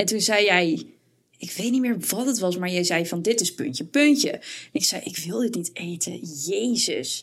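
This woman has a normal speaking voice at a medium pitch. She speaks at a moderate pace with lively intonation. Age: 20s. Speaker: podcast co-host and student. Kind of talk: casual chat.

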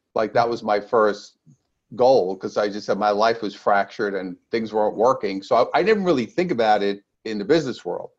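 This man has an ordinary speaking voice with an American accent. He talks at a moderate pace with lively intonation. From New York, Brooklyn. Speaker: energy healer and sales author. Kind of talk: interview.

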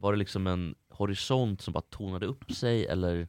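A man speaks in an ordinary speaking voice, fairly low in pitch with ordinary pitch variation, in a dry, close sound with no echo. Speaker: podcast host. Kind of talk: casual chat. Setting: studio.

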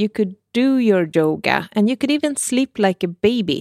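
Lively in intonation, a woman with a Swedish accent speaks at medium pitch and a fairly slow pace, recorded very cleanly with a silent background and a dry, close sound with no echo. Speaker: podcast host, health author. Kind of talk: casual interview.

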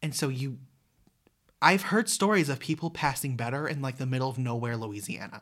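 The recording is very clean with a silent background, and the speech moves at a fairly quick pace. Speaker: podcast co-host, college student. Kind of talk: casual chat.

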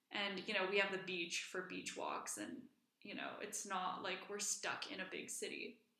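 Monotone, flat intonation from a woman at medium pitch and moderate pace, with audible room echo. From Iceland. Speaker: podcast co-host. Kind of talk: casual chat.

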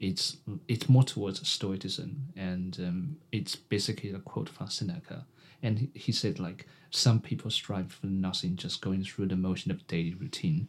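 A man talks at a moderate pace with a fairly low pitch. His voice is somewhat breathy. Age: 20s. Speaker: podcast co-host. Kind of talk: casual interview chat. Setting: studio.

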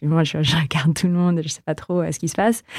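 This woman speaks in a very deep, low voice with monotone, flat intonation. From Philippines. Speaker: tech entrepreneur. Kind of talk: interview.

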